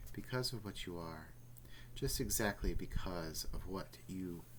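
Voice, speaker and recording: A man uses a put-on character voice, very deep and creaky. Clear background noise is present. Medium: read story.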